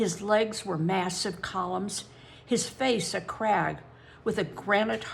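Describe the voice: The pitch rises and falls in an ordinary way. It is plain reading aloud.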